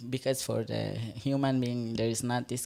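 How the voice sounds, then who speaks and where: A woman speaks with an Iranian accent in a very deep, low voice. Her intonation stays fairly even over a very clean recording with a silent background. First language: Farsi. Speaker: performance artist. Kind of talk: panel discussion. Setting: stage with live audience. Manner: halting.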